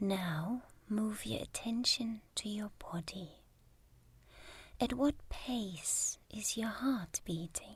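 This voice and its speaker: Breathing somewhat audibly, a woman speaks in a calm tone at a fairly high pitch with ordinary pitch variation. Her pace is very slow, with long, frequent pauses. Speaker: meditation guide. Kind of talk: guided meditation. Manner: slow, calm.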